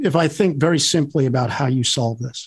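With a somewhat breathy, fairly high voice, a man speaks at a moderate pace and ordinary pitch variation. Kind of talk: casual radio interview. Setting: radio studio.

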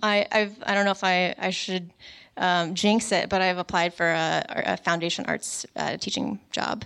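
A woman with an American accent talks at a medium pitch and moderate pace in a plain, everyday voice, her intonation fairly even against a quiet background. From Richmond, Virginia. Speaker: illustrator and artist. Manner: joking, casual.

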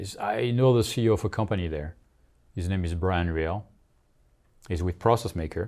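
A man with a French accent speaks at a very deep, low pitch, at a moderate pace with ordinary pitch variation and long, frequent pauses. The recording is very clean, with a silent background. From France. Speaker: marketing executive. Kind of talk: interview.

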